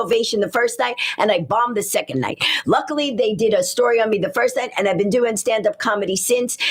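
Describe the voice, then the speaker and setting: With an American accent, a woman talks at a very fast pace with a fairly high pitch, ordinary pitch variation and an animated tone. Her loudness stays very even, and background noise is noticeable. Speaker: stand-up comedian and author. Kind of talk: radio interview. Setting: radio studio.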